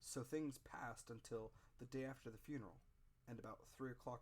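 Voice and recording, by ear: The text is read out in a natural voice.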